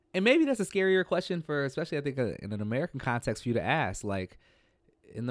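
The intonation is lively, and the recording is very clean with a silent background. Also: man. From US Midwest (St. Paul, Minnesota). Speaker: poet and performer. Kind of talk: casual discussion.

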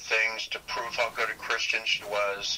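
A man speaks over noticeable background noise. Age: 70s. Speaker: retired pastor and Bible scholar. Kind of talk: casual discussion. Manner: halting, many fillers.

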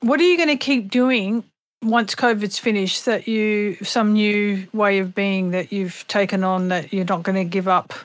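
A woman speaks with an Australian accent at a medium pitch. Her pace is fairly slow, with ordinary pitch variation. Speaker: singer and voice actress. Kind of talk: casual chat. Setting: video call. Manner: animated.

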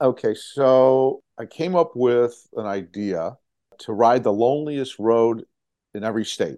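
With a plain, everyday voice, a man at a medium pitch speaks at a fairly slow pace with ordinary pitch variation over a quiet background. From Chicago, US Midwest. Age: 60s. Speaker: touring motorcyclist and charity fundraiser. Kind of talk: casual interview.

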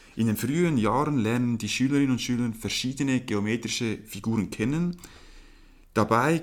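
This man speaks at a medium pitch and a moderate pace. He has a normal speaking voice. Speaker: podcast host, sports student. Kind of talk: scripted explanation; casual chat.

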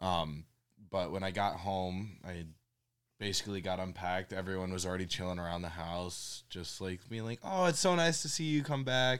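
A man speaks with a very deep, low pitch and ordinary pitch variation. The recording is very clean with a silent background. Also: moderate pace. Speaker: college student. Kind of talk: casual family chat.

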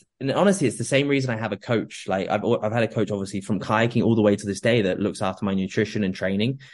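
Very fast, with ordinary pitch variation, a man talks in a southern English accent over a quiet background. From southern England (Oxfordshire). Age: 20s. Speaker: fitness coach and former kayak athlete. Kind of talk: casual interview chat.

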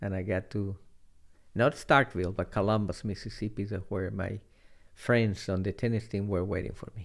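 Fairly low-pitched man with a Spanish accent, fairly even intonation and a moderate pace, in a very clean recording with a silent background. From Chile. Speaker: retired finance executive and former tennis player. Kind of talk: interview storytelling.

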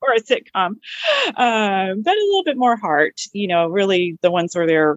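A woman talks with a plain, everyday voice at a moderate pace and ordinary pitch variation. The sound is dry and close, with no echo. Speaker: Monkees fan, works with youth. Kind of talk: casual chat.

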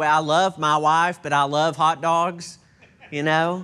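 In a very clean recording with a silent background, a man with a Texan accent speaks at a fairly high pitch in a bright, sharp tone. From Texas. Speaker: pastor. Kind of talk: sermon. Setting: church.

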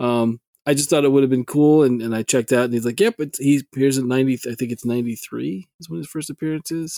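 A man with a dark, mellow tone talks very fast at a medium pitch with ordinary pitch variation and big swings in loudness, on a dry, close recording with no echo. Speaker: podcast co-host. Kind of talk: casual chat.

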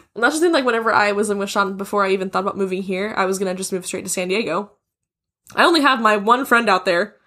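Speaking at a very fast pace, a woman has a medium pitch with ordinary variation and a bright, sharp tone with vocal fry. The recording is very clean, with a silent background. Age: 20s. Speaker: podcast guest, host's friend. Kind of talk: casual chat.

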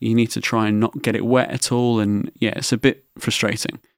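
A man with an English accent talks at a fairly quick pace in a medium pitch. The recording is very clean with a silent background, and the sound is dry and close with no echo. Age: 20s. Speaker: podcast host with cystic fibrosis. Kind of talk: personal storytelling monologue.

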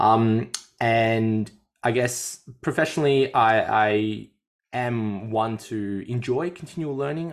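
Speaking in an Australian accent, a man is heard on a very clean recording against a silent background. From Australia, Melbourne. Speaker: fitness coach and podcast host. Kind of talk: casual chat.

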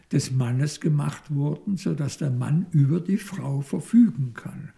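A man talks at a very slow pace in a dark, mellow, somewhat breathy tone with lively intonation. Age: 70s. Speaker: psychoanalyst. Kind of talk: interview. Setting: institute office. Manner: halting.

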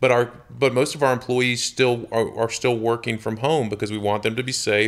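With a Southern US accent, a man of medium pitch keeps a moderate pace and a monotone, flat intonation, with hardly any pauses. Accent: Southern US (Georgia). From US South, Georgia (Jonesboro, near Atlanta). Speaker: real estate company executive. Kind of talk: interview conversation.

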